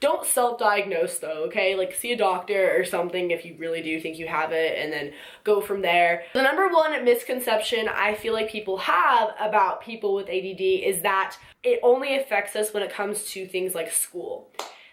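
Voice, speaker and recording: A woman at a medium pitch speaks with lively intonation and hardly any pauses, against noticeable background noise. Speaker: vlogger. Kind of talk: casual talk to camera. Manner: fast.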